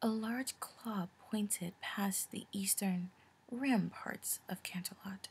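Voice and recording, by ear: Ordinary pitch variation runs through this reading aloud in a natural voice.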